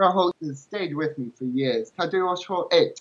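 A man talks at a high pitch. He has a strong English accent. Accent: strong English accent in Mandarin. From England. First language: English (speaking Chinese). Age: 30s. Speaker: translator and language learner. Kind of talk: interview. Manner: halting.

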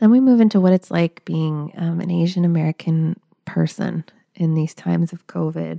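A woman with an ordinary speaking voice talks at a moderate pace, fairly low in pitch with ordinary pitch variation. The sound is dry and close, with no echo. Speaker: podcast host and author. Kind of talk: interview, conversational. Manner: warm, affirming.

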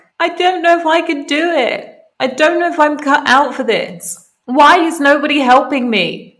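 A woman puts on a whiny character voice, high-pitched and whiny in tone, at a moderate pace. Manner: whingy, whiny.

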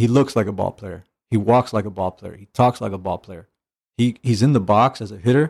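On a very clean recording with a silent background, a man with an American accent talks fairly quickly in an unremarkable speaking voice. His pitch is fairly low with ordinary variation, and the sound is dry and close with no echo. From US, Mexican American. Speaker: former pro baseball catcher. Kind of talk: casual chat.

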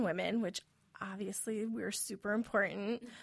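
A woman with an American accent talks in a normal speaking voice at a fairly high pitch, with ordinary pitch variation. The recording is very clean, with a silent background. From US Midwest, rural Wisconsin. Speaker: podcast host. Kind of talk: interview.

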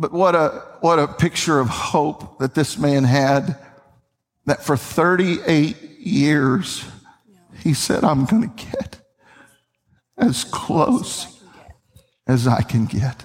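With an American accent, this man talks at a very slow pace, his fairly high pitch carrying lively intonation between long, frequent pauses. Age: 50s. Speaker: pastor. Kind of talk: sermon. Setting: church. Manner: animated.

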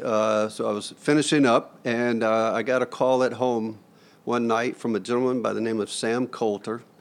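A man talks in a Southern US accent at a moderate pace with monotone, flat intonation. The recording is very clean, with a silent background. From US South (Florida/Georgia). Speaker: hospital chief financial officer. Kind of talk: interview.

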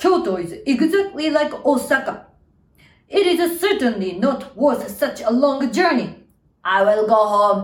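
A woman with a Japanese accent speaks at a high pitch and a fairly slow pace, her pitch swinging very widely. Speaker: storyteller and actor. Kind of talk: storytelling, children's story narration. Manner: dramatic, expressive storytelling with lively, playful pacing.

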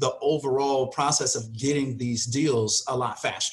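A plain, everyday voice. It belongs to a man with an American accent, fairly high pitch and a moderate pace. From Chicago suburbs. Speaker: real estate wholesaling coach. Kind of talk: interview.

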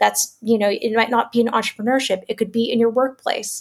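A woman speaks with a Canadian accent in a plain, everyday voice. Her pitch is fairly high and her pace fairly quick. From Canada, Toronto. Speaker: author and entrepreneur. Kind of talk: interview.

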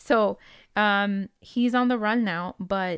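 Speaking very slowly, a woman with a Spanish accent uses a medium pitch and ordinary pitch variation. The recording is very clean, with a silent background. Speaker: podcast host. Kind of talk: casual storytelling chat.

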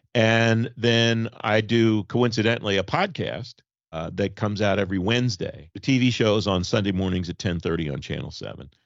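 A man speaks fairly fast in a normal speaking voice, his pitch fairly low and his pitch variation ordinary. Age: 50s. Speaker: government affairs TV and podcast host. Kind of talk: casual chat.

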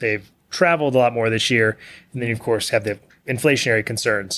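A man with a Texan accent speaks at a moderate pace with ordinary pitch variation on a very clean recording with a silent background. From Texas, small town west of Houston. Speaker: CEO of a smoker and grill manufacturer. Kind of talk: podcast interview.

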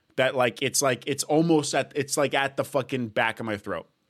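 A man with an unremarkable speaking voice talks at a moderate pace, fairly high in pitch with ordinary pitch variation, with a Canadian accent. The recording is very clean, with a silent background. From Canada, Edmonton, Alberta. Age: 20s. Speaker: podcast host. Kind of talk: casual chat.

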